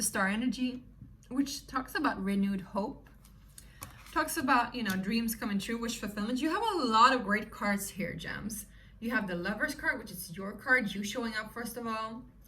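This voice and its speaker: In a room with audible echo, a woman speaks at a moderate pace in a fairly high voice with ordinary pitch variation. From Sweden. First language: Swedish. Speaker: tarot reader. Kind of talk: tarot reading to viewers. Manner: animated.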